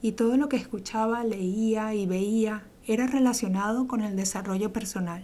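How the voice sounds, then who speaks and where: Here a woman speaks at a fairly slow pace. Her voice is fairly high-pitched with a dark, mellow tone. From Venezuela. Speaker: podcast host, entrepreneur coach. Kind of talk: monologue podcast intro. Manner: enthusiastic.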